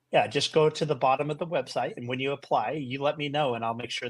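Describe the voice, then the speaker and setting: A man with an American accent has a plain, everyday voice at a medium pitch with ordinary pitch variation. The recording is very clean, with a silent background. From Utah. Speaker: company CEO. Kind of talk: interview.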